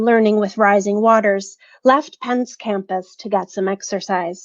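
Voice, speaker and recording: A woman with an ordinary speaking voice talks at a moderate pace with ordinary pitch variation. The sound is dry and close, with no echo. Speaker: professor. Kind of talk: prepared academic talk read aloud.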